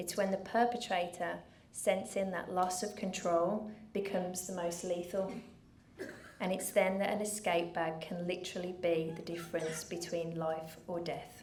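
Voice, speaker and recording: In a Brummie accent, a woman speaks at a moderate pace with monotone, flat intonation. Room echo is audible, along with noticeable background noise. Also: medium pitch for a woman. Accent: Birmingham (Brummie). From England, Birmingham. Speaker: charity founder. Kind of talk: speech to an audience. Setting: stage with audience.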